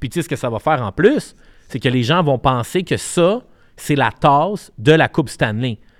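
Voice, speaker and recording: On a very clean recording with a silent background and a dry, close sound with no echo, a man with a Quebec accent speaks at a moderate pace, fairly high in pitch and with lively intonation. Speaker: podcast co-host, media entrepreneur. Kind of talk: casual chat.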